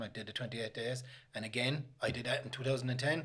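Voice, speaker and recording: The man's pitch is medium and his intonation fairly even. He talks at a fairly quick pace. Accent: Limerick. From Limerick, Ireland. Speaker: author, recovering gambling addict. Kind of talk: interview answer.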